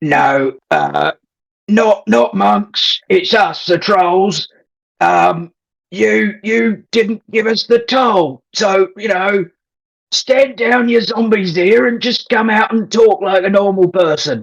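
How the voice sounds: A man's put-on character voice, high-pitched and guttural, at a very slow pace.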